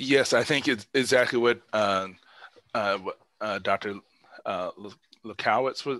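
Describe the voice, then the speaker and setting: Speaking fairly slowly with an Indiana accent, a man at medium pitch keeps his intonation fairly even while his loudness swings widely, with long, frequent pauses and a dry, close sound lacking echo. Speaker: neurologist, guest lecturer. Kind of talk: Q&A after a lecture. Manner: halting, many fillers.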